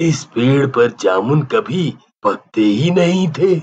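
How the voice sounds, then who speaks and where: A cartoonish character voice with lively intonation. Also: man. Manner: gentle, affectionate.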